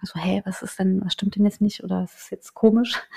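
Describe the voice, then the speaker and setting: A woman speaks at a fairly quick pace in a medium pitch. Her voice is somewhat breathy. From eastern Germany, small town in Saxony-Anhalt. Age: 30s. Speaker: journalist. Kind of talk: casual chat. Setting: in-person recording in a house.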